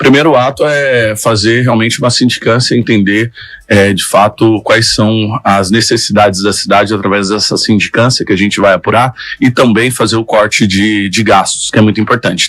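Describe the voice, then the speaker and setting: An ordinary speaking voice at a moderate pace, with very even loudness and fairly even intonation. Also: man. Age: 30s. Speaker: radio journalist and mayoral candidate. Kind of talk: interview.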